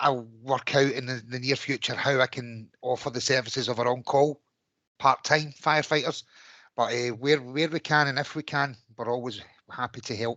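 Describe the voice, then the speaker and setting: Speaking with a Glaswegian accent, a man has a bright, sharp tone and monotone, flat intonation, recorded dry and close with no echo against a quiet background. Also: medium pitch for a man, moderate pace. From Scotland, Glasgow. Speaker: fire service officer. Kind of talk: community meeting.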